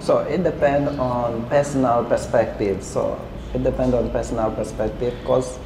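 Fairly slow speech from a man, with noticeable background noise. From Angola. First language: Portuguese. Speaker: podcast co-host. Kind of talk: casual chat. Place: cafe.

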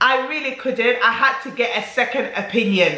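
A woman's high voice at a moderate pace, with noticeable background noise. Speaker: beauty and perfume YouTuber. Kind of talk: casual talk to camera, beauty review.

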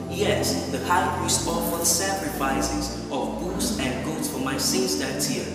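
Amid loud background music and audible room echo, a man speaks at a fairly slow pace. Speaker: spoken word performer. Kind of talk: spoken word poetry, religious testimony. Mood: fervent, devotional. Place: church.

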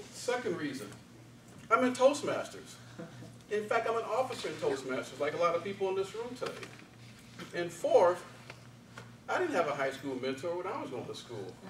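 With long, frequent pauses and very wide pitch swings, a high-pitched man speaks at a moderate pace amid light background noise and audible room echo. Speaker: speech contestant, office worker. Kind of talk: contest speech. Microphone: camera far.

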